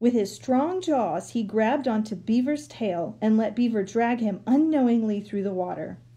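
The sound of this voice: Pitch varies in an ordinary way as an unforced reading voice carries the text.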